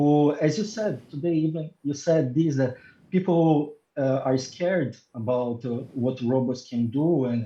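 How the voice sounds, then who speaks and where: A somewhat breathy man with a dark, mellow tone, fairly high pitch, ordinary pitch variation and moderate pace. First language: not English. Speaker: robotics research scientist. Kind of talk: interview. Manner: halting, many fillers and repetitions.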